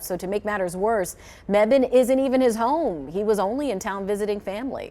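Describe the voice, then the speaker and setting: Delivered at a fairly quick pace, a plain, everyday voice in an American accent shows ordinary pitch variation. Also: woman. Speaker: television news anchor and reporter. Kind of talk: TV news anchor delivery.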